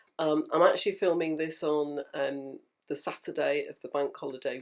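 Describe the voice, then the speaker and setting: A woman with a British accent. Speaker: home sewist and vlogger. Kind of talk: casual talk to camera.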